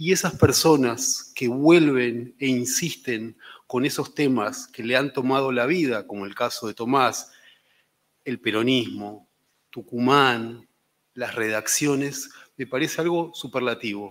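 Talking at a fairly slow speed, a man uses ordinary pitch variation. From Argentina. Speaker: newspaper editor. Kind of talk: panel discussion. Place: hall. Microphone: podium.

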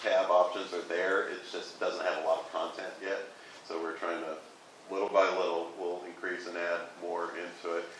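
There is audible room echo and light background noise as a man speaks at a moderate pace. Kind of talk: meeting report. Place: meeting room. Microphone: camera far.

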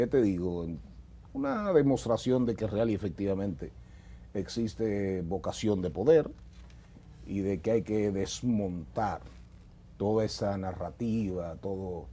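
Over light background noise, a man with a fairly low pitch and a dark, mellow tone speaks at a fairly slow pace with long, frequent pauses. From Dominican Republic, San Juan province (Las Matas de Farfán); Dominican Republic. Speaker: politician, party secretary general; politician. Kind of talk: interview, political discussion. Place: studio. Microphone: lapel.

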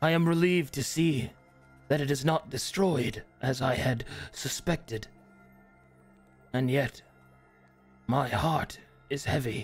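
A man talks at a fairly slow pace with long, frequent pauses, his fairly high pitch showing ordinary variation. His loudness stays very even, and faint music plays in the background. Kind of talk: solemn fantasy monologue. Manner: reflective, melancholy.

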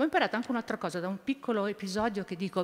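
She is the one talking. Her pitch moves in an ordinary way. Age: 70s. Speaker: environmental activist, former politician; former politician. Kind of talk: panel talk. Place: hall. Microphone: podium.

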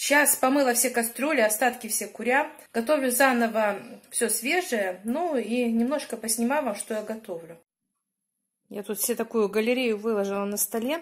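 A woman at a moderate pace, with ordinary pitch variation against a quiet background. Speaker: home cook vlogger. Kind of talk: casual cooking vlog chat. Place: kitchen. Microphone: phone near.

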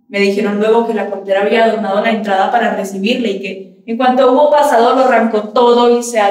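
With audible room echo, a woman talks at a very fast pace. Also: hardly any pauses. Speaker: stage actress. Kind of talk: theatrical monologue. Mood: grieving, anguished, intimate. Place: stage.

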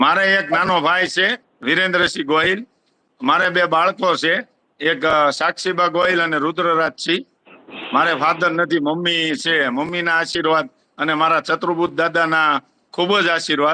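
A man speaks in a high pitch with a bright, sharp tone. His loudness stays very even, with ordinary pitch variation. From Gujarat, Bhavnagar district (Vartej). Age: 40s. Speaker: village head. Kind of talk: interview.

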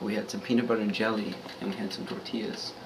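A man speaks over noticeable background noise. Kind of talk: casual vlog chat. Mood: jokey, late-night. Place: kitchen. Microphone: phone near.

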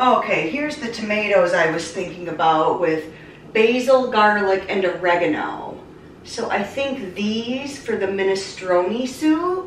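There is audible room echo and light background noise as a woman speaks at a fairly slow pace. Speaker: vlogger. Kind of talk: casual vlog chat. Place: kitchen. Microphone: camera far.

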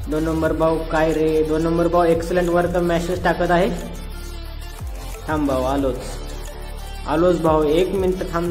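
A man talks in a high register. Music can be heard behind him. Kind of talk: comedic gameplay commentary.

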